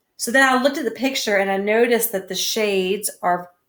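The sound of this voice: The pitch shifts in an ordinary way. The delivery is an unforced reading voice.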